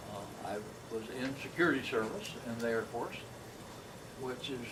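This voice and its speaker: Amid audible room echo and noticeable background noise, a man speaks at a moderate pace, medium in pitch and fairly even in intonation. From Oregon. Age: 70s. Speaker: war veteran. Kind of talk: interview. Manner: halting.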